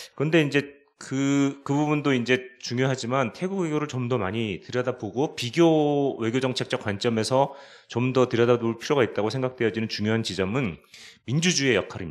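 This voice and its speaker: A man speaks with a medium pitch at a moderate pace. His pitch varies in an ordinary way. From South Korea. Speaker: conference moderator; moderator of academic seminar. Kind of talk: formal moderation; closing remarks. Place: meeting room. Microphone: handheld.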